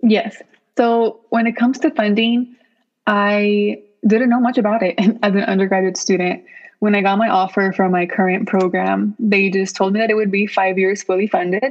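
With an American accent and a normal speaking voice, a woman talks at a moderate pace and medium pitch, her loudness very even and her intonation fairly even. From US West Coast, Los Angeles (Boyle Heights). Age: 20s. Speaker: PhD student. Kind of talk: interview.

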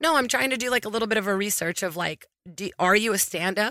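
A woman's bright, sharp voice at medium pitch, very fast in pace with ordinary pitch variation, dry and close with no echo in a very clean recording against a silent background. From Brazil, raised in US South. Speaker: comedian. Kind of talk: casual chat.

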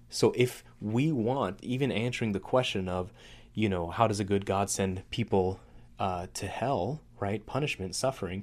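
Speaking at a moderate pace in an unremarkable speaking voice, a man keeps a fairly low pitch with ordinary pitch variation. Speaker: podcast host. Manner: casual, conversational, with humor.

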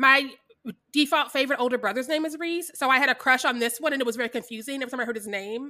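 A woman speaks very fast in an American accent, her high voice bright and sharp, raised and projected, with ordinary pitch variation. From US Midwest, Kansas City, Missouri. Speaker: podcast co-host. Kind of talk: casual chat.

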